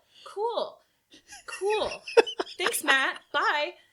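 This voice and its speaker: With a raised, projected voice and a bright, sharp tone, a woman sounds animated as her pitch swings very widely. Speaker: convention coordinator for a gaming accessories company. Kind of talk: casual chat. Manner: loud.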